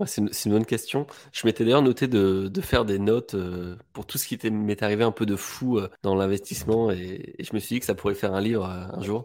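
A man with a normal speaking voice and a fairly low pitch, fairly even intonation and a fairly quick pace with hardly any pauses, on a very clean recording with a silent background. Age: 20s. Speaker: real estate investor and property dealer. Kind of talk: casual interview.

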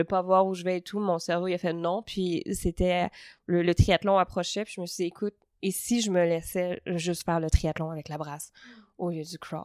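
An unremarkable speaking voice from a woman at medium pitch, moderate in pace, with a dry, close sound with no echo on a very clean recording with a silent background. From Quebec, Montreal (Saint-Hubert). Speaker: stand-up comedian. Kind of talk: casual interview conversation. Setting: at a table in Lausanne.

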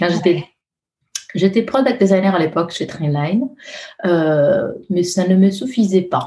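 The woman's pitch sits in the medium range. She speaks at a very slow pace. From Italy. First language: Italian (speaking French). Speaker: user researcher. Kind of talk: interview. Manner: halting; melodic.

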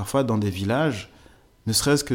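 This is a man speaking at a medium pitch. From Togo. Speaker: sports development manager. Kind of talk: personal testimony. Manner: halting, frequent repetitions.

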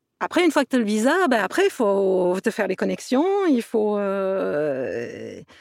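A woman at a fairly slow pace with hardly any pauses. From southern France, Toulouse area. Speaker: actress and producer. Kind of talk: interview. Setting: remote call.

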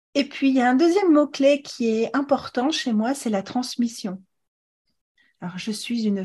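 The speaker uses a dark, mellow tone and lively intonation at a fairly slow pace. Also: woman. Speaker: podcast host, fertility educator and author. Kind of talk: interview. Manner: animated.

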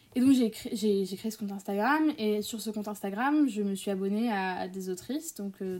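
Her voice sits at medium pitch with ordinary pitch variation. This woman has a dark, mellow tone. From Paris area, France. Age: young. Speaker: student and author. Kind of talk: interview. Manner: halting.

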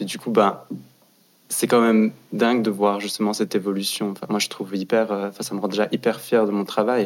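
A man with a fairly low pitch talks at a fairly quick pace. His intonation stays monotone and flat. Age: 20s. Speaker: fashion design student. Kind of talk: casual panel discussion.

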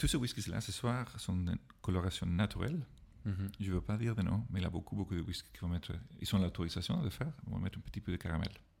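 A man with a very deep, low pitch and a non-native accent at a very fast pace, with ordinary pitch variation. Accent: foreign accent in French. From Ireland. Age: 40s. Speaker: whisky expert. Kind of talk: casual chat. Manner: halting.

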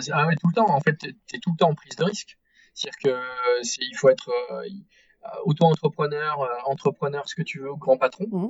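Pausing long and often, a man speaks at a fairly quick pace with ordinary pitch variation and big swings in loudness. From south-west France, Arcachon basin. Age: 40s. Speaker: entrepreneur. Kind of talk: interview conversation. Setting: remote call. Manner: halting, many fillers.

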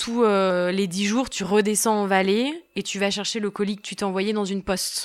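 A woman talks at a medium pitch and moderate pace in a monotone, flat intonation. The recording is very clean, with a silent background. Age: 20s. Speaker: long-distance hiker. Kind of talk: personal testimony. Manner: hesitant, many fillers.

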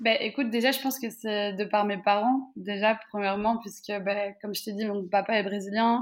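A woman's plain, everyday voice at medium pitch, moderate pace and fairly even intonation. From Belgium, Brussels. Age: 20s. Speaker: travel content creator. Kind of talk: interview.

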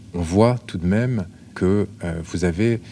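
In an ordinary speaking voice, a man talks at a fairly low pitch with ordinary pitch variation. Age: 40s. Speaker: care assistant and regional politician. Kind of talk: interview.

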